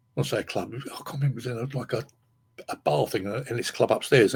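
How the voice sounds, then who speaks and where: A man speaks with an English accent. His voice shows vocal fry. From England. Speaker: podcast host, guitarist. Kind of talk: casual chat. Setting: live stream. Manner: halting.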